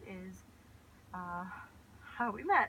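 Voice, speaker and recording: A woman talks in an American accent. The tone comes across bright and sharp. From California, US (Sacramento). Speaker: vlogger. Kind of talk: casual chat.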